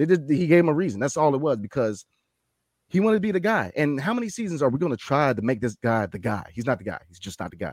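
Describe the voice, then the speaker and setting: A man with an American accent and a fairly high pitch at a very fast pace, with very wide pitch swings and big swings in loudness, on a very clean recording with a silent background. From Washington DC. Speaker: sports podcast host. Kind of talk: casual chat. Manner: animated.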